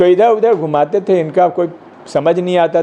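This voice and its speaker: A man speaks over noticeable background noise. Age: 70s. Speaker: medical scientist. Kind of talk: press conference statement. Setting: office, talking to journalists.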